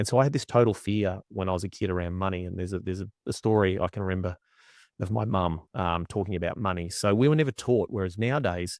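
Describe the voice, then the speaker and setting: A man with an Australian accent and a very deep, low pitch talks at a very fast pace with ordinary pitch variation, the sound dry and close with no echo against a quiet background. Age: 40s. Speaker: agriculture strategic coach. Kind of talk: casual interview chat.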